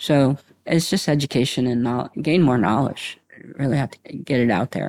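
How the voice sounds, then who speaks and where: This is a normal speaking voice at a moderate pace with ordinary pitch variation. The sound is dry and close, with no echo. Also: man, medium pitch for a man. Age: 50s. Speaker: patient advocate. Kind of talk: panel interview. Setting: live recording at convention.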